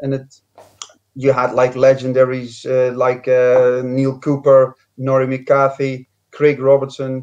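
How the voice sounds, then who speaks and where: A man with a strong Scottish accent, medium pitch and monotone, flat intonation. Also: fairly slow pace. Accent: strong Scottish accent (Dutch origin). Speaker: former footballer. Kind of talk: interview. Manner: hesitant, many fillers.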